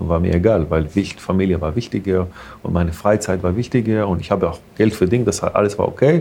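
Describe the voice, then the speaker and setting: At a moderate pace, a man speaks in a fairly low pitch with an Israeli accent. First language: Hebrew (speaking German). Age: 40s. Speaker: restaurant owner. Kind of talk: interview. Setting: in a restaurant. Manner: halting.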